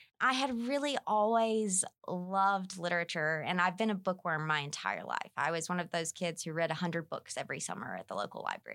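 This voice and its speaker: Someone with a North Alabama accent speaks at a fairly quick pace with ordinary pitch variation in a very clean recording with a silent background. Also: woman, medium pitch for a woman. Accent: Southern US, North Alabama twang. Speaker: business communications instructor. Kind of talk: casual interview.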